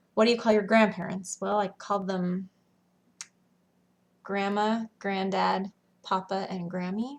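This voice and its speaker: A woman with a Western US accent, medium pitch, flat monotone intonation, a fairly slow pace and long, frequent pauses. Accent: Western American. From Western United States. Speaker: school teacher. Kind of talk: casual talk to camera.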